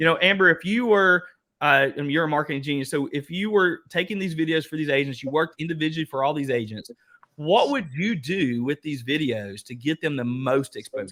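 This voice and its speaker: This man has an Eastern Kentucky accent and a fairly high pitch. He speaks at a fairly quick pace in an animated, bright, sharp tone. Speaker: workshop host, real estate coach. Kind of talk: online workshop discussion.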